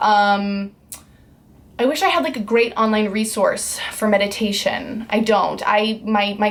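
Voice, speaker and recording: Noticeable background noise accompanies a woman speaking at a fairly high pitch. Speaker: vlogger. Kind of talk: personal vlog talk.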